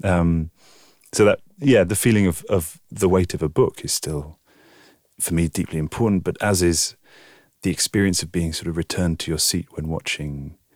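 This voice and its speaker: In a southern English accent, a man speaks with a very deep, low pitch and ordinary pitch variation at a moderate pace. The sound is dry and close with no echo, on a very clean recording with a silent background. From southern England, Oxford. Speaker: video artist. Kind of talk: interview.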